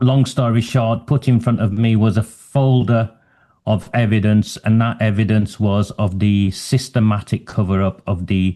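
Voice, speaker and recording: A dark, mellow tone with ordinary pitch variation against a quiet background. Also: man. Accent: Lancashire. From northwest England, Oldham. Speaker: human rights advocate. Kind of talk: interview.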